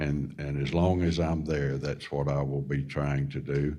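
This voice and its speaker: A man with an American accent speaks at a moderate pace in a very deep, low voice. His intonation is fairly even, and the room echo is audible. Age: 70s. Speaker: government official and farmer. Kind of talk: town hall remarks. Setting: town hall forum. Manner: halting.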